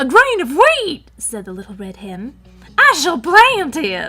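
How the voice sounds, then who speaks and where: Someone uses a put-on character voice pitched high. The pace is fairly slow, with faint music in the background. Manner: loud.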